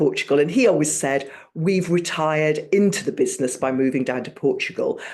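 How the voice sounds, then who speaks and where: Speaking at a moderate pace in a British accent, a woman with a very deep, low pitch has an animated tone. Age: 60s. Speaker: network marketing team member. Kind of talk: casual testimony on a team video call.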